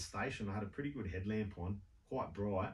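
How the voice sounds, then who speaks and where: Here is a man with an Australian accent, somewhat breathy and fairly low in pitch with ordinary pitch variation. He talks at a fairly quick pace, and audible room echo can be heard. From Sydney, Australia. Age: 40s. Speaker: walker on a charity trek. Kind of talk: radio interview. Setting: radio studio.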